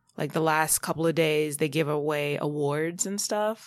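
On a very clean recording with a silent background, the speaker talks at a fairly slow pace in a New York accent. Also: woman. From New York, Long Island. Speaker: TV producer and casting director. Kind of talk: interview.

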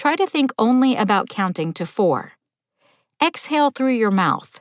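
In a very clean recording with a silent background and a dry, close sound with no echo, a woman with an unremarkable speaking voice talks at a fairly slow pace with lively intonation. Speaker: daily tip podcast host. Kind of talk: guided breathing exercise.

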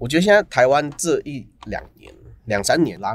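A man talking at a fairly quick pace with lively intonation. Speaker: ramen shop owner, former engineer. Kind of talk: casual interview chat.

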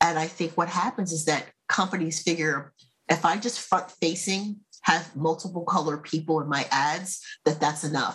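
With an American accent, a woman talks at a moderate pace in a normal speaking voice, her pitch fairly low and her intonation fairly even. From United States. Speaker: marketing consultant. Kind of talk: casual chat.

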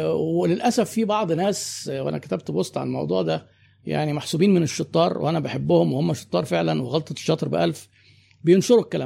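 In a very clean recording with a silent background, a man talks at a fairly quick pace and a medium pitch. His dark, mellow tone carries vocal fry and very wide pitch swings. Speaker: business consultant and marketing trainer. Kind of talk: interview conversation.

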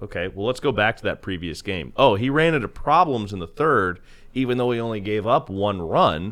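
Against a quiet background, an unremarkable speaking voice moves at a fairly quick pace. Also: man, fairly low pitch for a man, lively intonation. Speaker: radio broadcaster. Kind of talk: casual chat.

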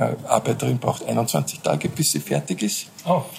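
A man speaks against noticeable background noise. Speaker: beekeeper. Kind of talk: casual interview. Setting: hotel rooftop.

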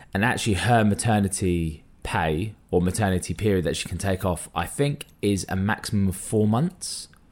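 A man speaks with a fairly low pitch and ordinary pitch variation, hardly pausing at all, on a very clean recording with a silent background. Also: moderate pace. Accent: London. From North London. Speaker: podcast co-host. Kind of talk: casual chat.

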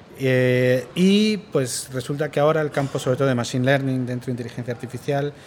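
Through noticeable background noise, a man at a medium pitch speaks at a moderate pace with ordinary pitch variation. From Spain. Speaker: university professor. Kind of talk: interview. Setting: recorded at a conference.

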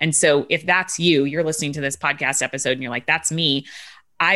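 Against a quiet background, a woman talks in a very deep, low pitch with a bright, sharp tone and ordinary pitch variation. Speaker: business coach. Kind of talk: podcast coaching conversation. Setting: group coaching call recording.

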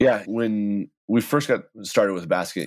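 An American accent on a very clean recording with a silent background. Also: man. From Texas. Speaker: tech startup co-founder. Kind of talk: interview.

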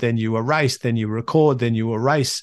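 A man with an Australian accent, medium in pitch with ordinary variation, in a dry, close sound with no echo. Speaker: podcast host. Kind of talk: solo monologue, motivational talk. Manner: conversational, motivational.

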